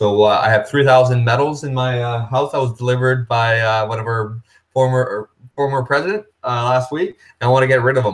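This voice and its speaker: At a fairly quick pace, a man with a medium pitch speaks in a somewhat breathy voice and fairly even intonation. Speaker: running association organizer. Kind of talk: webinar presentation. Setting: live video webinar. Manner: fast.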